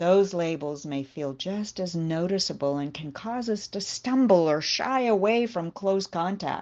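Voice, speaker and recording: In an American accent, a woman speaks at a medium pitch and fairly slow pace in an ordinary speaking voice. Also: lively intonation. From United States. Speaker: devotional speaker, university teacher. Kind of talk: devotional talk.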